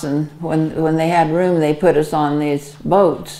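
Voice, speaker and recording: This woman's pitch is very deep and low. She speaks with monotone, flat intonation. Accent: American. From Arizona, USA. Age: 80s+. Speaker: WWII Red Cross veteran. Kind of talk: interview answer.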